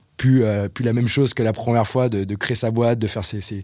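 Fairly even in intonation, a man speaks with a dark, mellow tone. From Brittany, France. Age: 30s. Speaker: marketing agency co-founder. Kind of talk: podcast interview. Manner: halting, many repetitions.

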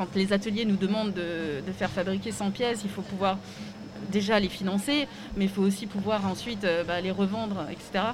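Noticeable background noise sits under a woman's medium-pitched voice. She talks at a moderate pace with fairly even intonation. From Alsace, France (Strasbourg). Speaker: fashion designer and craftswoman. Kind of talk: interview. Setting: live at a trade fair stand.

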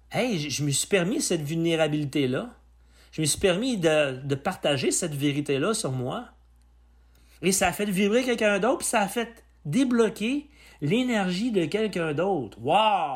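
With a Quebec accent, a man speaks in a high pitch at a fairly slow pace with very wide pitch swings, on a very clean recording with a silent background. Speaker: personal development podcaster. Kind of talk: solo podcast monologue. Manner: halting.

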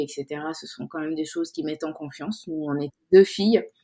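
This woman's voice sits at a very deep, low pitch. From Senegal (Dakar). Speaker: insurance consultant and women's network founder. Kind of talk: interview. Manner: hesitant, many repetitions.

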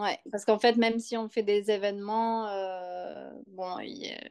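Very slowly, a woman talks at a medium pitch with fairly even intonation. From Bordeaux, southwest France. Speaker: antique dealer and furniture restorer. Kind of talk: casual interview. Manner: halting, many fillers and repeats.

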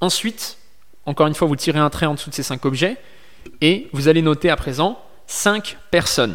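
With long, frequent pauses and lively intonation, a man speaks at a moderate pace and fairly high pitch in a very clean recording with a silent background. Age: 20s. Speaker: podcast host and online business coach. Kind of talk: sales pitch; solo motivational monologue.

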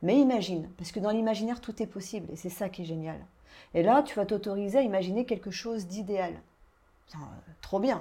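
A woman's voice sits at a medium pitch, dark and mellow in tone. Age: 40s. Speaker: life coach and hypnotherapist. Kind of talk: guided hypnosis; interview chat.

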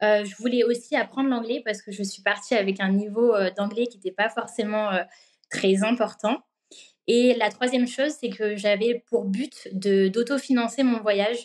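The speaker has a plain, everyday voice with fairly even intonation. The pace is moderate. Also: woman, fairly high pitch for a woman. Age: 20s. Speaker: working holiday traveller. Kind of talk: interview testimony.

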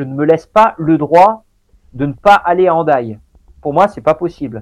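A man's fairly high-pitched voice with lively intonation at a moderate pace. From Normandy, France. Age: 40s. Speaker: elite endurance athlete. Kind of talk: long-form interview. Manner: halting, many repetitions and fillers.

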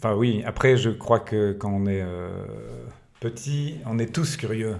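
Very slow in pace, a man with a medium pitch speaks with ordinary pitch variation. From Belgium, Liège region. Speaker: entrepreneur. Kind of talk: casual interview. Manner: halting.

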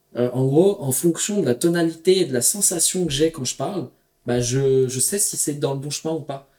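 A man speaks in a plain, everyday voice at a fairly high pitch. His pace is moderate, with ordinary pitch variation. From Paris region, Val-d'Oise. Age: 30s. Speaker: entrepreneur and traveler. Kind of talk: casual interview.

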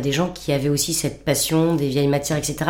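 Audible room echo carries a woman's voice. Her pitch is very deep and low, and her pace is moderate. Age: 50s. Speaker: founder of an upcycling workshop. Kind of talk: interview. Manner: talkative.

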